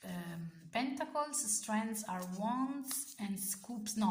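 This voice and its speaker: Amid audible room echo, a woman with an Italian accent speaks in a fairly high, somewhat breathy voice with ordinary pitch variation. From Italy. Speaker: tarot content creator. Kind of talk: casual video review. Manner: halting, many fillers and self-corrections.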